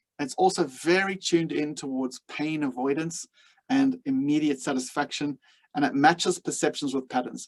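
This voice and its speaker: A man with a South African accent, fairly high-pitched for a man, at a fairly quick pace. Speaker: leadership coach. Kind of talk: webinar lecture. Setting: webinar.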